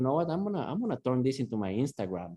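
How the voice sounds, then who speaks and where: A man speaks at a medium pitch with a Latin American accent. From Guatemala. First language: Spanish. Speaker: sauna and breathwork coach. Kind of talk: casual interview chat. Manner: animated.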